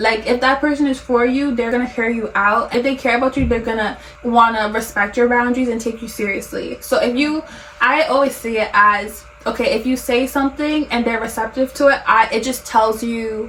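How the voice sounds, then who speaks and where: With noticeable background noise, a woman speaks fairly quickly in a high pitch with fairly even intonation. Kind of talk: casual conversation.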